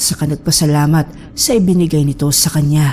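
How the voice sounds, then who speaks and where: A woman speaks at a moderate pace with a very deep, low pitch. There is noticeable background noise. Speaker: horror story narrator. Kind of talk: horror story narration.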